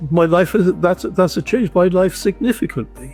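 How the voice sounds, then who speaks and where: A man speaking with music playing in the background. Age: 80s+. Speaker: dental implant patient. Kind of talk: interview answer. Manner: hesitant, halting.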